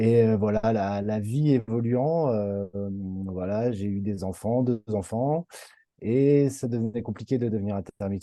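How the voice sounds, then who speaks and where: Against a quiet background, a voice with a dark, mellow tone moves at a fairly slow pace with ordinary pitch variation. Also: man. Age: 30s. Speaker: former clown performer, coaching client. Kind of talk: testimony interview. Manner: halting, many fillers.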